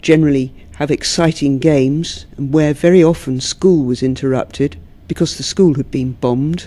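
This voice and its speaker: A woman with a very deep, low voice and a dark, mellow tone speaks at a moderate pace with ordinary pitch variation. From London, England. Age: 50s. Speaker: poet. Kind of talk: interview; poetry reading.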